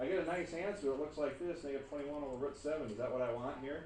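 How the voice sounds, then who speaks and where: Speech at a very fast pace with ordinary pitch variation comes through audible room echo and noticeable background noise. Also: man. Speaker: math teacher. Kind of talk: classroom lecture. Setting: classroom.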